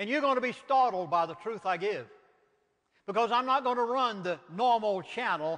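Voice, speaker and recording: A man with a Southern US accent speaks at a high pitch with a bright, sharp tone. His delivery is animated, at a moderate pace with ordinary pitch variation. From US South. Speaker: minister and author. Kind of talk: lecture.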